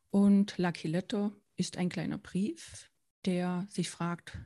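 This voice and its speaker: A woman talks very slowly at a medium pitch. Her tone is dark and mellow, and somewhat breathy. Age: 40s. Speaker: founder and children's author. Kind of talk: interview.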